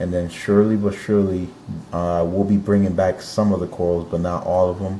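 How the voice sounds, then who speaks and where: Against noticeable background noise, a man with a very deep, low pitch speaks in a monotone, flat intonation. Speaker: aquarium hobbyist video host. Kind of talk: casual video tour. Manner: halting, many fillers.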